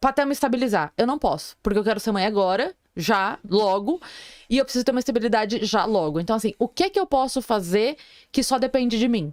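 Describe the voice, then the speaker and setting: A normal speaking voice with lively intonation and very even loudness moves at a fairly quick pace. The sound is dry and close with no echo. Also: woman, fairly high pitch for a woman. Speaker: comedian. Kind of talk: casual chat.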